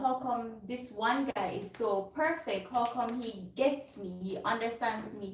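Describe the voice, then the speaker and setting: There is noticeable background noise and audible room echo. Through it, a woman talks fairly slowly. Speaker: vlogger. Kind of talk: casual chat.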